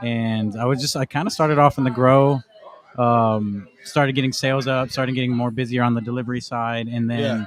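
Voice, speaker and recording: In an American accent, a man talks at a medium pitch with fairly even intonation in an ordinary speaking voice. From Arizona, Casa Grande. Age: 20s. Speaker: cannabis brand sales rep. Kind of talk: podcast interview. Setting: in-person in a lounge.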